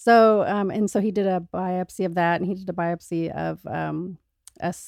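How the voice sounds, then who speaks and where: Against a silent background in a very clean recording, a woman talks at a moderate pace. She has an ordinary speaking voice, with a fairly low pitch and fairly even intonation. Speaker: breast cancer survivor. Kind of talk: casual chat.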